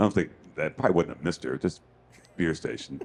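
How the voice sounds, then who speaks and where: Male voice with vocal fry and very wide pitch swings at a fairly quick pace. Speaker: podcast host. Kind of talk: casual chat.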